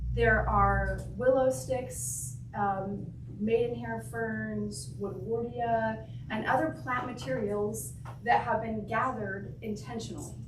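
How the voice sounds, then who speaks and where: A woman with an American accent at a very slow pace, with audible room echo and noticeable background noise. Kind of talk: talk to a church group. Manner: hesitant, many fillers.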